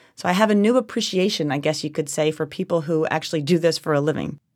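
Her voice low in pitch and slightly mellow in tone, a woman with a New Jersey accent talks at a fast pace in a very clean recording with a silent background. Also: ordinary pitch variation. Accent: New Jersey American.

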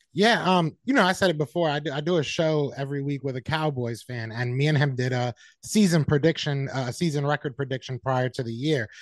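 A plain, everyday voice with an American accent moves at a fairly quick pace with hardly any pauses and ordinary pitch variation. The sound is dry and close with no echo, over a quiet background. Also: man, fairly high pitch for a man. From Connecticut. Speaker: football podcast guest, Eagles fan. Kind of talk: casual sports chat.

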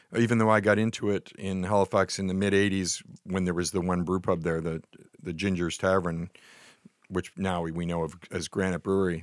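Over a silent background, a man speaks at a fairly quick pace with a very deep, low pitch and monotone, flat intonation. The recording is very clean, with a dry, close sound and no echo. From Nova Scotia, Canada. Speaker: beer and wine writer. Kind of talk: casual chat. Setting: studio.

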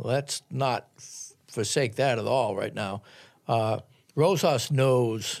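In a very clean recording with a silent background, a man with a medium pitch and an American accent talks at a very slow pace with ordinary pitch variation. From US Northeast, Boston. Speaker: basketball journalist. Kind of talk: casual chat. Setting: studio.

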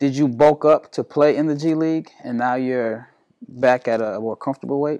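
Recorded very cleanly against a silent background with a dry, close sound and no echo, a man speaks in a normal speaking voice at a fairly high pitch. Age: 40s. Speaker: basketball podcast host and scout. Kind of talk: interview. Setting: recording on location.

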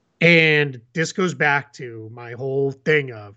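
A man speaks at a fairly high pitch with a bright, sharp tone. The background is quiet. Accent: American. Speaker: basketball podcast host. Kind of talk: casual sports chat. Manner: animated.

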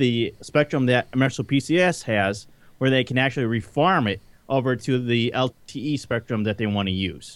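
In a plain, everyday voice, a man with an American accent speaks at a moderate pace and medium pitch with ordinary pitch variation. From Detroit. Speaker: podcast guest. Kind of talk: casual chat. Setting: remote call from home.

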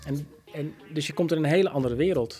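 Speaking at a fairly quick pace, a man uses a slightly mellow tone, fairly high pitch and ordinary pitch variation.

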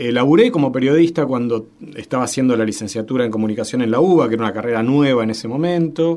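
Speaking very fast in a Rioplatense accent, a man with a medium pitch uses ordinary pitch variation. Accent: Argentine Spanish (rioplatense). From Argentina, Santa Fe. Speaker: media researcher and university professor. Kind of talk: radio interview. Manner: hesitant, frequent fillers.

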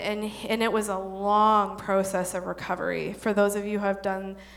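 Medium-pitched female voice in a room with audible echo. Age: 30s. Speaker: church women's ministry speaker. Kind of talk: church talk to an audience. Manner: casual, informal.

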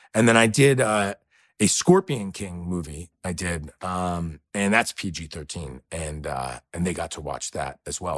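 A man with a New York accent speaks at a fairly slow pace, his loudness swinging widely. The recording is very clean with a silent background, and the sound is dry and close with no echo. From New York City. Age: 40s. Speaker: actor. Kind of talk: interview.

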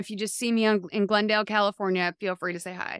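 Recorded very cleanly against a silent background, with a dry, close sound with no echo, a woman with a plain, everyday voice speaks at a fairly quick pace and ordinary pitch variation. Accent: American. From Massachusetts, US. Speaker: TV writer and podcast host. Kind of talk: casual chat.

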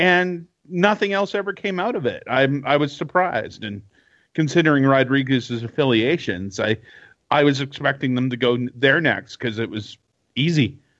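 Here a man with a Canadian accent talks at a moderate pace, fairly high-pitched, with lively intonation and an unremarkable speaking voice. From Canada. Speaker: podcast co-host. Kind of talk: casual chat.

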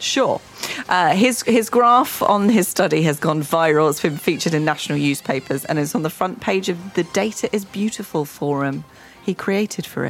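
A woman's fairly low voice with lively intonation at a moderate pace, over noticeable background noise

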